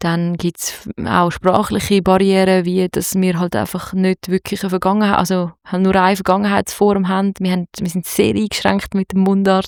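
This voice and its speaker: A voice with a Zurich accent speaks at a moderate pace in a flat monotone, recorded dry and close with no echo in a very clean take over a silent background. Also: woman. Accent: Zurich Swiss German. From Zurich, Switzerland. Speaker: singer-songwriter and producer. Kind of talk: interview. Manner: halting.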